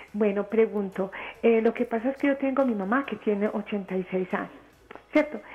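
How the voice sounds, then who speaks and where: Over noticeable background noise, a woman talks fairly quickly in a fairly high pitch. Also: ordinary pitch variation. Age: 60s. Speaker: caller. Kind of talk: call-in question. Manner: halting.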